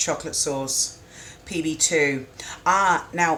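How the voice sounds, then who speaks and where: The speaker is a woman. Her pitch is fairly low. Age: 40s. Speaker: cooking streamer. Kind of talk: live stream cooking chat. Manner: casual, chatty.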